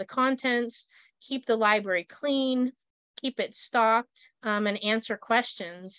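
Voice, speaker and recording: A woman with a normal speaking voice talks in a fairly high pitch with ordinary pitch variation. The sound is dry and close with no echo, over a quiet background. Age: 40s. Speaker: master gardener instructor. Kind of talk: online class presentation. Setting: recorded online session.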